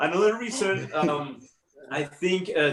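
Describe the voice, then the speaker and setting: A man speaks in a Spanish accent at a fairly slow pace. His pitch varies an ordinary amount. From Colombia. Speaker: comedy student performer. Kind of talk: stand-up. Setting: online show. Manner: halting.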